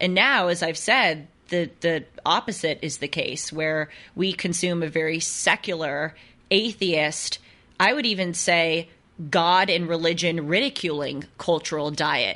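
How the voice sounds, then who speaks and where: Over a quiet background, a woman talks at a fairly slow pace with a bright, sharp tone and ordinary pitch variation. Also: fairly low pitch for a woman. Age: 20s. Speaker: podcast host. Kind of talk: interview.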